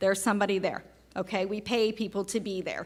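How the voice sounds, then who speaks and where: Bright, sharp tones from a woman with an American accent. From US South. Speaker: oncology nurse. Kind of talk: patient education talk. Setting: seminar with live audience.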